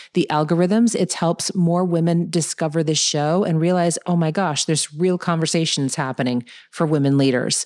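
The woman speaks at a fairly low pitch with ordinary variation in it. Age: 50s. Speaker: podcast host and entrepreneur. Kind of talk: interview conversation; podcast intro monologue. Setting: remote recording. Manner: animated.

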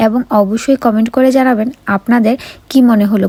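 A woman's plain, everyday voice, fairly high in pitch, with a dry, close sound and no echo. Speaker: family vlogger. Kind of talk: casual vlog talk.

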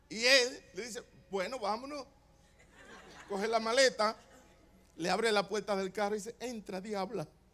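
A man's raised, projected voice, high in pitch and animated in tone, at a moderate pace with ordinary pitch variation and long, frequent pauses. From Dominican Republic. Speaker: pastor. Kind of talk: sermon. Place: church. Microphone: handheld.

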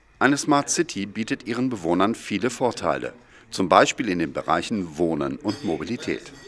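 With vocal fry and very wide pitch swings, a man with a fairly low pitch talks at a moderate pace. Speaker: video narrator. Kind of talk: scripted narration. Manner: formal.

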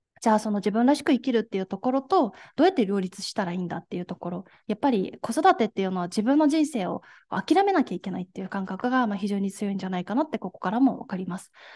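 A woman talks at a very fast pace in a fairly high pitch, her tone dark and mellow. She sounds somewhat breathy, with big swings in loudness. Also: lively intonation. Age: 20s. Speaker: gender equality activist; speaker. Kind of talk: lecture. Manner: formal. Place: hall.

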